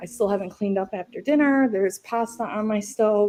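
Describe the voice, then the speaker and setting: This woman has a medium pitch. Her tone is dark and mellow. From Central New York. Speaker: entrepreneur, former nurse. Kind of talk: podcast interview. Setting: video call from home kitchen. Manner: loud; animated.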